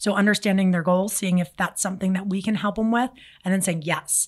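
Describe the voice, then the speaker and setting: Somewhat breathy at medium pitch, a woman speaks with monotone, flat intonation in a very clean recording with a silent background. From Philadelphia, US. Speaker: marketing agency CEO. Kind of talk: interview. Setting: studio.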